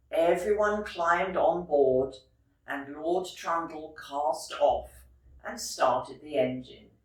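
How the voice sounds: At a slow pace, a woman with a low pitch speaks with ordinary pitch variation in a room with audible echo.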